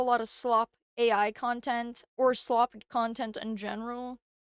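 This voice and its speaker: Recorded very cleanly with a silent background and a dry, close sound with no echo, a woman speaks at a high pitch. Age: 20s. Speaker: small content creator. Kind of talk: casual vlog monologue. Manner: halting, stuttering.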